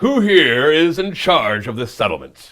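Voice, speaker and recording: Using a put-on character voice, a man projects loudly at a high pitch, swinging very widely in pitch at a moderate pace. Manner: fancy and full of bravado.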